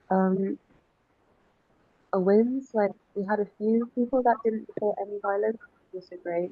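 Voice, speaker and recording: A woman at medium pitch keeps her intonation fairly even and her pace moderate, leaving long, frequent pauses while her loudness swings widely. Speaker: workshop participant. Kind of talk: group presentation. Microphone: too quiet.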